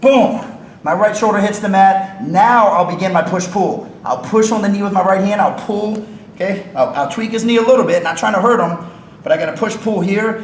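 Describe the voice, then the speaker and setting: Over noticeable background noise and audible room echo, a man speaks fairly quickly at a high pitch with ordinary pitch variation. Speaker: wrestling coach. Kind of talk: instructional demonstration at coaches clinic. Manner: fast.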